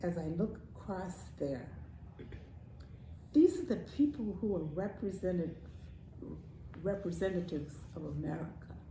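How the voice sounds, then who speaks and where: A woman speaks slowly with a fairly low pitch, a dark, mellow tone and vocal fry. Her intonation is lively, her loudness swings widely, and she leaves long, frequent pauses. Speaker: grandmother, storyteller. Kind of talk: casual talk about politics and society.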